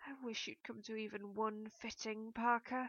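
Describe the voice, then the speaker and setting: Put-on character voice from a woman, fairly high in pitch, monotone and flat, at a moderate pace. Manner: through gritted teeth, irritated.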